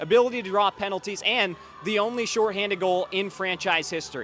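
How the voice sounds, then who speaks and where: Against noticeable background noise, a man talks at a fairly quick pace in a high pitch with ordinary pitch variation. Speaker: hockey play-by-play broadcaster. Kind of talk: pregame preview broadcast segment.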